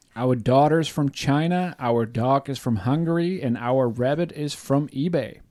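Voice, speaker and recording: With a German accent, a man talks at a fairly slow pace with hardly any pauses. His fairly high voice has a dark, mellow tone and ordinary pitch variation. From Germany. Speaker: podcast co-host, life coach. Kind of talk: casual podcast chat. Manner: halting, many repeats.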